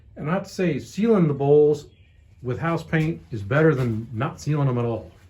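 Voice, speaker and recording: Audible room echo around a man with an American accent, fairly high-pitched with a dark, mellow tone, lively intonation and a moderate pace. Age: 60s. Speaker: hobby woodturner. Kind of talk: casual tutorial rant. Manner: casual, rambling with self-corrections.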